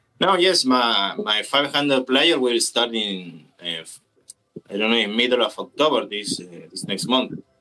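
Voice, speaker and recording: With a non-native accent, a man speaks at a moderate pace and medium pitch, his bright, sharp tone marked by very wide pitch swings and big swings in loudness. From Brazil. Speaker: gaming tournament organizer. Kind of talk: casual discussion on live stream. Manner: halting.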